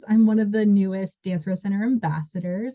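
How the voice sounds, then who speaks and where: Somewhat breathy and dark, mellow in tone, a woman speaks at a fairly high pitch in an American accent. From Washington state. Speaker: dancer and volunteer coordinator. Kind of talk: interview answer.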